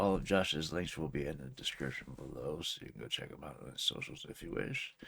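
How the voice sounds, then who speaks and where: Speaking at a fairly quick pace, a man with a very deep, low pitch and vocal fry shows ordinary pitch variation. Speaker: reaction video creator. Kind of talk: casual reaction commentary.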